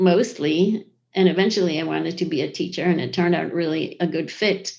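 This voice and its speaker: With a plain, everyday voice, a woman speaks at medium pitch and a moderate pace with fairly even intonation against a quiet background. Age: 60s. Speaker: ceramic artist and professor. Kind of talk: interview.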